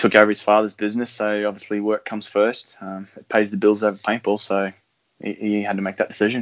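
Very fast speech in an Australian accent. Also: man. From Australia, Brisbane. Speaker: paintball player. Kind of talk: casual chat.

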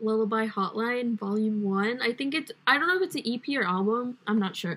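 A woman speaks at a fairly high pitch with ordinary pitch variation, in an ordinary speaking voice. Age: 20s. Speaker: podcast co-host. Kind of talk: casual chat.

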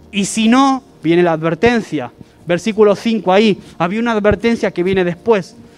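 Noticeable background noise behind a man's high voice, moderate in pace and ordinary in pitch variation. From Argentina. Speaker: pastor. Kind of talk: sermon.

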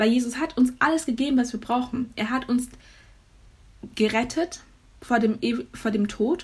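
The voice moves at a moderate pace. Its intonation is fairly even. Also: woman. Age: young. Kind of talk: faith talk monologue. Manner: casual with many fillers.

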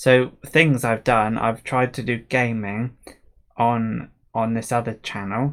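Speaking at a very slow pace in a monotone, flat intonation, a man comes through on a very clean recording with a silent background. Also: medium pitch for a man. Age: 20s. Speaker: solo podcaster. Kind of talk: casual solo monologue. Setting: home room, livestream. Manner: halting, many fillers.

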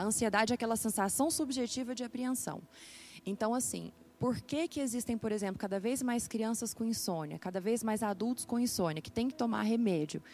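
A woman with a fairly high voice and ordinary pitch variation talks while music plays behind her. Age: 20s. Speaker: psychiatry resident doctor. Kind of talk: interview.

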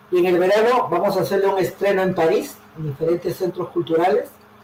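A man speaks in a high voice. Noticeable background noise can be heard. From Peru, Callao and Lima. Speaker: poet. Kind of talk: interview.

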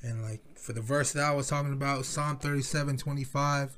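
Moderate pace from a man with an American accent, medium pitch, somewhat breathy, with monotone, flat intonation. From Philippines. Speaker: podcaster. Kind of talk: casual solo chat. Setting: home recording, alone in a room. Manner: casual, rambling, filler-heavy.

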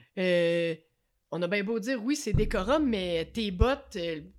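A woman talks at a fairly slow pace with lively intonation. Hers is an unremarkable speaking voice. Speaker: podcast co-host. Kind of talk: casual chat.

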